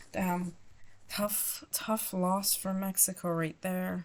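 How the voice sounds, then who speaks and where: A woman's medium-pitched voice, very slow in pace, with monotone, flat intonation. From France. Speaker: gaming YouTuber. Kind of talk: gameplay commentary. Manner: halting.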